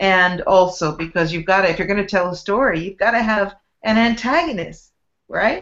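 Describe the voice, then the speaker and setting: In an unremarkable speaking voice, a woman with an American accent talks at medium pitch with ordinary pitch variation. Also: moderate pace. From US West Coast (San Francisco Bay Area). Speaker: author and spiritual teacher. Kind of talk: interview.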